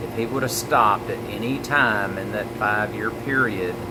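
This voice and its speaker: Against noticeable background noise, a man with an American accent speaks at a moderate pace, his fairly low voice keeping fairly even intonation. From Mississippi, USA. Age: 50s. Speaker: motivational speaker and direct-sales marketer. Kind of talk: motivational talk to camera. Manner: earnest, conversational storytelling.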